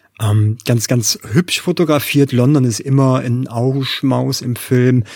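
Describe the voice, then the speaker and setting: A man with a medium pitch, a somewhat breathy voice, fairly even intonation and a fairly slow pace. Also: dry, close sound with no echo. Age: 40s. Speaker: film podcast co-host. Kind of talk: casual chat.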